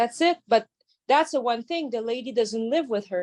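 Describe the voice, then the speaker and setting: A woman with a French Canadian accent speaks in a fairly high pitch with ordinary pitch variation. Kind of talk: audience question. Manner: halting.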